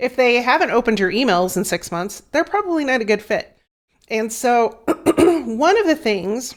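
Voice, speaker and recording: A woman uses a put-on character voice, raspy and hoarse, with a high pitch. Her pitch swings very widely as she goes at a moderate pace. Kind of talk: casual professional talk.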